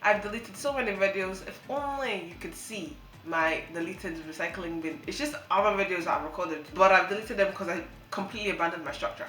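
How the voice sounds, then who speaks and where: A woman at medium pitch talks at a very fast pace, with lively intonation, an animated tone and big swings in loudness. Audible room echo and noticeable background noise fill the recording. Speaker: YouTuber. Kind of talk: casual vlog monologue.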